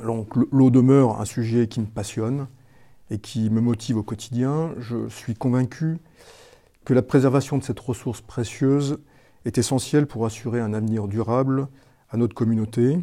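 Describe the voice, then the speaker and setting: A man with a dark, mellow tone talks at a moderate pace and a medium pitch. His intonation stays fairly even, broken by long, frequent pauses. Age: 60s. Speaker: village mayor. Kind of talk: prepared testimony. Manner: halting, with repeated words.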